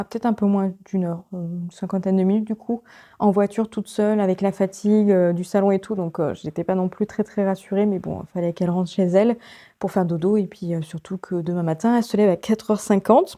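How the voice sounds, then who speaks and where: A woman of medium pitch talks at a very fast pace in a dark, mellow tone with fairly even intonation, captured dry and close with no echo. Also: very clean recording, silent background. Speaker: book vlogger. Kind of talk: casual vlog talk. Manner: soft-spoken; hesitant, many fillers.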